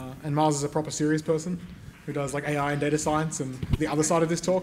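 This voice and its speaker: With audible room echo, a man in an Australian accent speaks at a very fast pace in a fairly high, somewhat breathy voice. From Tasmania, Australia. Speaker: game developer and author, conference speaker. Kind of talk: conference talk.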